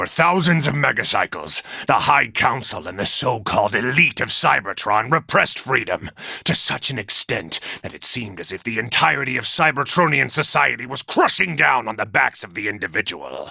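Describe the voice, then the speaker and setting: This man puts on a character voice, pitched in the medium range and delivered at a moderate pace. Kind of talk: audio log narration. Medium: dub. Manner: measured, reflective.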